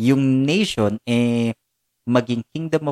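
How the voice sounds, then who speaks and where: At a very slow pace, a man speaks with ordinary pitch variation in a dry, close sound with no echo. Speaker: Bible teacher. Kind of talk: Bible teaching talk.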